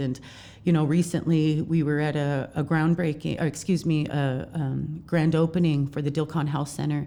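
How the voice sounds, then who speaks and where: A woman with an American accent speaks at a moderate pace in a very deep, low pitch, with a dark, mellow tone and monotone, flat intonation. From Montana, Fort Belknap Reservation. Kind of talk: interview.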